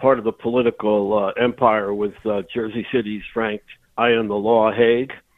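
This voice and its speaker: In an ordinary speaking voice, a man speaks at a medium pitch and a fairly slow pace. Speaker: local historian and author. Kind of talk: radio interview.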